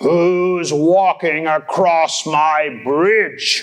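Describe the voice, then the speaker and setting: This man puts on a character voice. His pitch is high. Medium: read story. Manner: gruff, demanding.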